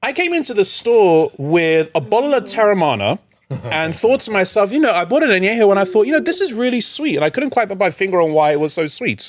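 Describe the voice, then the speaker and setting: A man's high voice in an American accent, very fast, with very wide pitch swings. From England, London. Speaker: recruitment expert. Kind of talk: podcast interview, casual chat.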